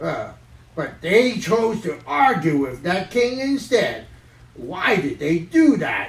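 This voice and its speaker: A cartoonish character voice at a middle pitch, with very wide pitch swings and a fairly slow pace. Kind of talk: children's Sunday worship puppet show. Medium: puppet.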